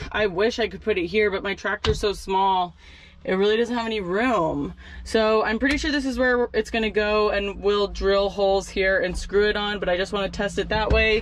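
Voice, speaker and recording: A woman keeps a moderate pace, her intonation fairly even. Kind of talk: casual vlog tutorial. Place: farm machine. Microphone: phone near.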